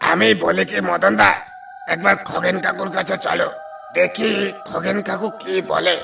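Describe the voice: A man puts on a raspy, cartoonish character voice, high-pitched and raised to project. He moves at a moderate pace against clear background noise.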